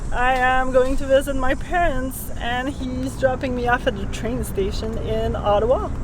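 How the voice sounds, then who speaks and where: A woman with a French Canadian accent speaks at a moderate pace. Audible room echo and noticeable background noise surround her. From Quebec, Canada. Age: young. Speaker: sailing vlogger. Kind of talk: casual vlog chat; vlog narration.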